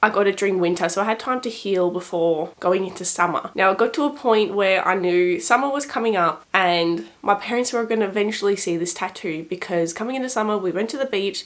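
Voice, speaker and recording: Over noticeable background noise, a woman with an Australian accent speaks at a fairly quick pace, her medium pitch showing ordinary variation. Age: 20s. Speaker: lifestyle vlogger. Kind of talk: casual vlog talk to camera.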